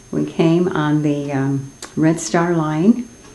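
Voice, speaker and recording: With an American accent, a woman speaks at a very deep, low pitch over noticeable background noise. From US Midwest (Sioux City, Iowa), Czech-born. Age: 80s+. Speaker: interviewee, Czech immigrant. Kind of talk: oral history interview.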